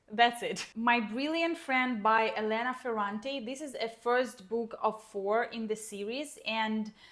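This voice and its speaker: Her voice is fairly high for a woman, with fairly even intonation. The woman speaks at a fairly slow pace. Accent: Ukrainian. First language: Ukrainian. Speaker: book vlogger. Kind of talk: casual vlog chat. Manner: hesitant, with fillers.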